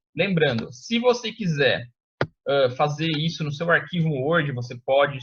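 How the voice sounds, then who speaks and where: A man's voice at a fairly high pitch. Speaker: teacher. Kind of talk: lecture. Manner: fast; casual, informal.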